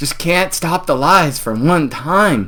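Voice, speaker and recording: A man with a fairly high pitch and vocal fry talks at a very slow pace with lively intonation. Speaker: YouTube commentator. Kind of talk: live stream commentary. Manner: animated.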